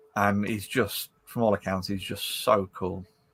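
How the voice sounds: With a fairly bright tone, a man speaks at a fairly slow pace and a fairly low pitch.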